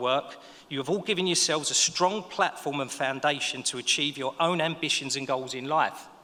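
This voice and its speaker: A man speaks in a Cockney accent at a moderate pace. His fairly high voice has a bright, sharp tone. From East London (Dagenham). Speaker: business owner, ceremony speaker. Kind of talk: graduation speech. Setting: stage with audience.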